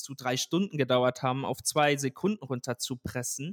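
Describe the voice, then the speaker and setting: This man has a normal speaking voice at a fairly high pitch, moving at a moderate pace in a dry, close sound with no echo. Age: 20s. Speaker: tech startup founder. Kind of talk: interview. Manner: frequent filler sounds.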